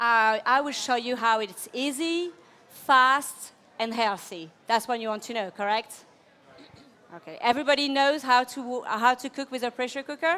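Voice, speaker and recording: At a moderate pace, a woman with a high pitch and a bright, sharp tone uses ordinary pitch variation and big swings in loudness. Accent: French. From France, Burgundy. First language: French. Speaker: chef. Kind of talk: cooking demonstration. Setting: demonstration kitchen with live audience.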